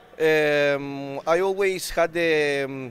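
A man in an Argentine accent with fairly even intonation. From Argentina. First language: Spanish. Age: 20s. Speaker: bodybuilder. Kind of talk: casual interview. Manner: halting.

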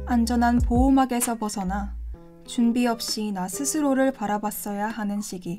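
Music plays behind a woman speaking at a fairly slow pace. Her voice is fairly high, with ordinary pitch variation. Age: 20s. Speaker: university student narrator. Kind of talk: scripted narration.

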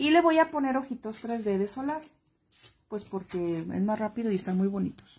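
A woman's somewhat breathy, dark, mellow voice, fairly high in pitch, at a moderate pace with lively intonation. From Mexico, Guadalajara. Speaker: crafts instructor. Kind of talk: live-stream craft tutorial. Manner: chatty, affectionate.

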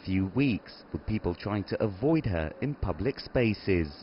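Somewhat breathy, the man's voice moves through very wide pitch swings. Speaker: news reporter. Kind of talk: news report.

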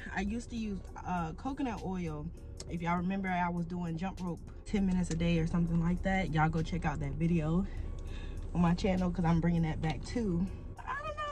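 Clear music plays in the background as a woman speaks at a very fast pace. Her pitch is fairly low, with ordinary variation. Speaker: fitness vlogger. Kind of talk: casual vlog chat. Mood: upbeat, proud. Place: car. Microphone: phone near.

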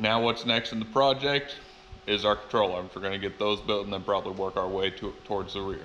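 A man speaks fairly quickly in a normal speaking voice, his pitch fairly low. His intonation stays fairly even over light background noise. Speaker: fabricator hosting a build channel. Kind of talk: casual vlog chat. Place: workshop. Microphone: phone near.

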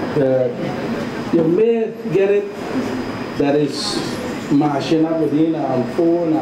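At a very slow pace, a man talks with ordinary pitch variation over noticeable background noise. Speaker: local cook giving demonstration. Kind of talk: cooking demonstration. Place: kitchen.

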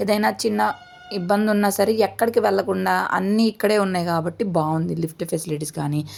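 A fairly low-pitched woman with lively intonation over noticeable background noise. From Chirala, coastal Andhra Pradesh. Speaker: family vlogger. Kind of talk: casual vlog narration.

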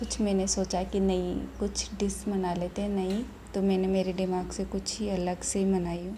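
A woman talks at a fairly slow pace in a monotone, flat intonation. Light background noise can be heard. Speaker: home cook vlogger. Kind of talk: casual cooking vlog chat. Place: kitchen.

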